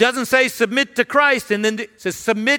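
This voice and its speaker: A man's raised, projected voice with a bright, sharp tone comes through dry and close with no echo on a very clean recording with a silent background. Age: 50s. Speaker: senior pastor. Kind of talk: sermon. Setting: church.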